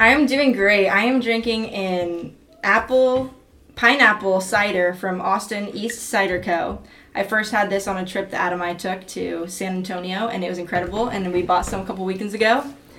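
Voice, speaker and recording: The speaker talks at a moderate pace with ordinary pitch variation, with audible room echo and noticeable background noise. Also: woman, medium pitch for a woman. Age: 20s. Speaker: college student, sorority member. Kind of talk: casual chat. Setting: home studio.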